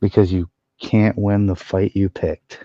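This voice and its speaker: A man's fairly low voice, dark and mellow in tone, with a dry, close sound, no echo, and a quiet background. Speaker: streamer. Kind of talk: casual chat. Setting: live stream.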